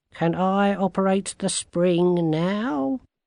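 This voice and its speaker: This put-on character voice sits at a middle pitch and moves at a very slow pace. The background is quiet. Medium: read story.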